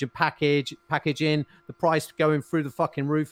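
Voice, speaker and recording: Using a normal speaking voice, a man speaks at a moderate pace with a fairly high pitch. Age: 40s. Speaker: podcast co-host. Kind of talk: casual chat. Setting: live stream with webcams.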